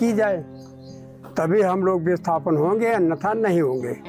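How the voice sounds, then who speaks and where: Music plays behind him. The man's pitch varies in an ordinary way. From Lakhimpur Kheri, Uttar Pradesh, India. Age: 60s. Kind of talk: interview answer.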